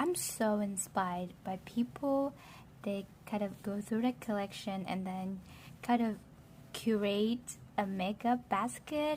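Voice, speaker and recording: A fairly slow pace marks this speech. The somewhat breathy delivery shows ordinary pitch variation. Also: woman. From Vietnam. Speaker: beauty vlogger. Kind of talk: casual talk to camera.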